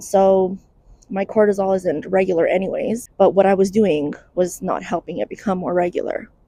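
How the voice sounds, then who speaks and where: This woman's voice has a dark, mellow tone. Her intonation is fairly even. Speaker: mental health content creator. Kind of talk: casual vlog monologue. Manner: conversational, informal.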